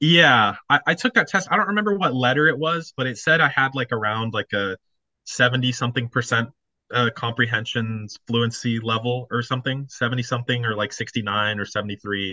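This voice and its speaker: This is a man with an American accent. He has an ordinary speaking voice at a medium pitch. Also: ordinary pitch variation, fairly quick pace. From Texas. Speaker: college student. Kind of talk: casual chat.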